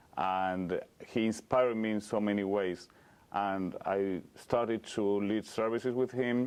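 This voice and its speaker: Speaking with a slight Argentine accent, a man uses a fairly low pitch and fairly even intonation. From Argentina (Cordoba). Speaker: rabbi. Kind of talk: interview. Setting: synagogue.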